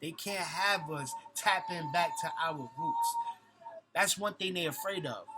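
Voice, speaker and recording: With music in the background, a man speaks in a raised, projected voice that is high-pitched and animated, with lively intonation. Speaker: conscious community vlogger. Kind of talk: vlog monologue. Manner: fast.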